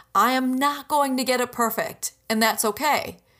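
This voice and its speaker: Upbeat, animated tone from a woman at a moderate pace, in a very clean recording with a silent background. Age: 30s. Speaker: podcast host and business mentor. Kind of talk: solo podcast monologue.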